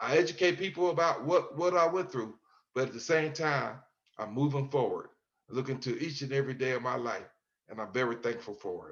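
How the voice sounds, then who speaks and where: A man with an American accent and an ordinary speaking voice, fairly high in pitch, at a fairly quick pace with ordinary pitch variation. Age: 60s. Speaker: exoneree, author. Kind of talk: interview.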